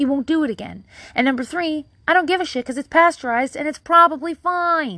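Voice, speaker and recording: A woman speaks very fast in a raised, projected voice with a bright, sharp tone. The background is quiet. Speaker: podcast host. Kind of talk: casual solo monologue. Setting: hiding outside at home. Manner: rambling, filler-heavy, casual; low-energy, self-deprecating.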